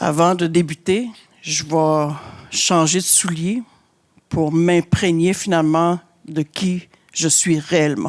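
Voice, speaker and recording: A woman with a fairly low voice and a Quebec accent speaks at a very slow pace, leaving long, frequent pauses. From Innu community, Côte-Nord, Quebec. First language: Innu-aimun (speaking French). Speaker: shelter director. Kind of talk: conference talk. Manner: hesitant, many fillers.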